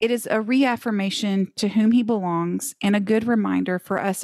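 A woman talks in a plain, everyday voice at medium pitch with ordinary variation and a moderate pace. The recording is very clean and dry, close with no echo, with a silent background. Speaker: podcast co-host. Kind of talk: casual Bible study discussion.

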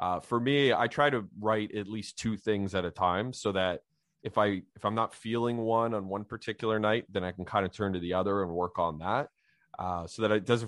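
Someone with a Canadian accent talks at a fairly quick pace in a plain, everyday voice. Pitch variation is ordinary. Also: man. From Canada, Ottawa Valley. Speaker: crime novelist. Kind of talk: interview.

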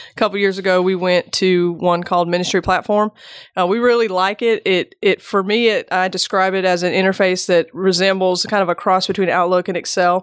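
Over a very clean recording with a silent background, a woman speaks with very even loudness and monotone, flat intonation, the sound dry and close with no echo. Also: medium pitch for a woman, fairly quick pace. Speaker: church staff member, guest follow-up. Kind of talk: casual conversation, podcast interview. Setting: studio.

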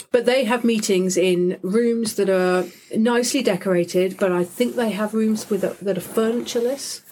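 A woman with an English accent, fairly high in pitch, at a moderate pace with ordinary pitch variation. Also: very even loudness. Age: 40s. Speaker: podcast host. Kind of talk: scripted intro; interview. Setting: studio.

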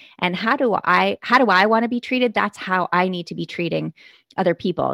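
A woman speaks at a fairly quick pace, her medium-pitched voice showing vocal fry. The sound is dry and close, with no echo. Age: 40s. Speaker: keynote speaker and author. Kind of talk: casual chat.

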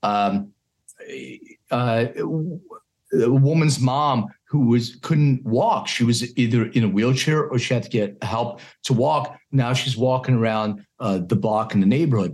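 A man with an American accent talks at a fairly slow pace in an ordinary speaking voice. His pitch is medium, with ordinary pitch variation. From Philadelphia, US. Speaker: cannabis health company CEO. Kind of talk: interview.

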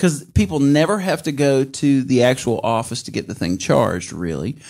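In an American accent with vocal fry, the speaker moves at a fairly quick pace in a very clean recording with a silent background. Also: man. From US South, Mississippi. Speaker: musician, producer and podcast host. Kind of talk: casual chat. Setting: studio.

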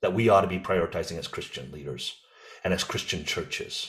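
Speaking in an American accent at a fairly quick pace, a man sounds somewhat breathy, with lively intonation. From USA (Korean American). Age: 50s. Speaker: president of an evangelical ministry organization. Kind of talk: interview conversation.

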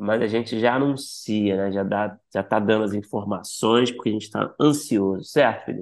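A man with an unremarkable speaking voice talks at a moderate pace and fairly low pitch, keeping his intonation fairly even. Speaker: podcast host. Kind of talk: casual interview chat.

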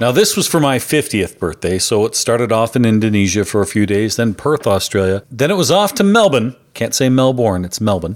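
A man speaks at a fairly quick pace with hardly any pauses, in a strong Canadian accent, at a medium pitch, with lively intonation. The recording is very clean with a silent background. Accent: thick Canadian. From Canada. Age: 50s. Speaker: podcast host. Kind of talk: podcast narration with event interviews. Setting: live pinball events in bars.

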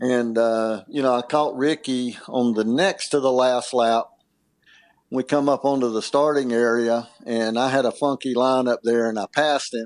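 With a plain, everyday voice, a man talks at a moderate pace. His pitch sits in the medium range and his intonation stays fairly even. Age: 50s. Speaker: former motocross racer. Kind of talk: casual interview. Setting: podcast interview.

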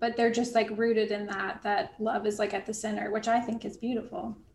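Noticeable background noise accompanies a woman whose voice sits fairly high. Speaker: podcast co-host. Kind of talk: casual chat.

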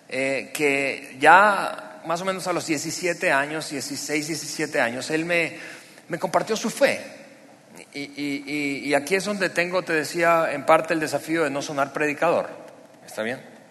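In a room with audible echo and noticeable background noise, a man with a fairly high pitch talks at a fairly slow pace with ordinary pitch variation. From Venezuela, Barquisimeto. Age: 40s. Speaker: pastor. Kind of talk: sermon testimony. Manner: halting, many repetitions and fillers.

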